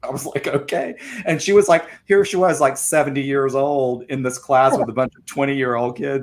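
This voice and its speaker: Using an American accent, a man talks at a fairly quick pace with big swings in loudness and ordinary pitch variation. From US South. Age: 50s. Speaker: arts center director. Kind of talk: casual interview chat.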